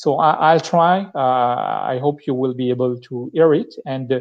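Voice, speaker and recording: A man at a moderate pace and medium pitch, with a strong French accent, ordinary pitch variation and a quiet background. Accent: thick French. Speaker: tech speaker. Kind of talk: live-streamed tech talk. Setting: live stream. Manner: halting, many fillers and restarts.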